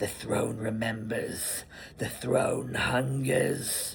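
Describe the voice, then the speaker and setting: Over clear background noise and hissing, a man puts on a gravelly, raspy character voice at medium pitch and a very slow pace. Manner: menacing, ominous.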